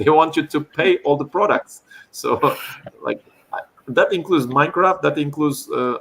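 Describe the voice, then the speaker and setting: A man with a Turkish accent speaks at a moderate pace. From Turkey. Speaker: chess educator. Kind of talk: online talk Q&A.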